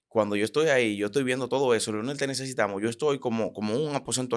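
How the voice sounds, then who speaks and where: The man speaks very fast, with a quiet background behind him. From Dominican Republic. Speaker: preacher and prophet; preacher. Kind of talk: interview conversation. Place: studio. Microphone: studio mic.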